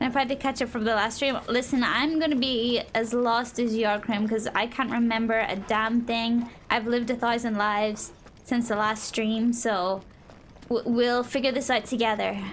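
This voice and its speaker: A woman speaks with a Northern Irish accent in a fairly high pitch. Her intonation is monotone and flat, her loudness very even. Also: moderate pace. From Northern Ireland. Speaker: streamer. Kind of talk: gameplay stream chat.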